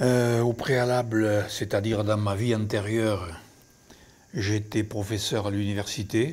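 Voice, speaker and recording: Speaking at a very slow pace, a man keeps a fairly low pitch and fairly even intonation. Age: 80s+. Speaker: winery manager, retired professor. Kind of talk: documentary interview. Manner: hesitant.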